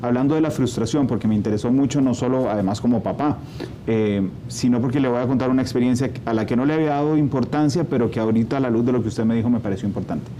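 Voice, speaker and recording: With a Costa Rican accent, a man talks at a very fast pace in a medium pitch, with ordinary pitch variation and very even loudness over noticeable background noise. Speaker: TV news interviewer. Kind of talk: interview. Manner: conversational.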